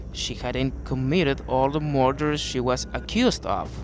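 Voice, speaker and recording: A man with a non-native accent at a fairly slow pace. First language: not English. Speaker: true crime narrator. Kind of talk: true crime narration.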